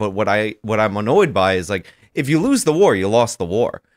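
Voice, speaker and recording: In a normal speaking voice, a man speaks at a fairly quick clip. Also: quiet background. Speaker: YouTuber; podcast co-host. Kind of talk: casual panel talk show. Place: studio. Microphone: studio mic.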